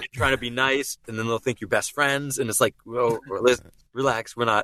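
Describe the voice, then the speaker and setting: This man's voice has a bright, sharp tone, medium pitch and flat, monotone intonation, moving at a fairly quick pace in a dry, close sound with no echo. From Boston. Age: 30s. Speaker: voice actor and impressionist. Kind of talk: casual chat. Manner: halting, many false starts.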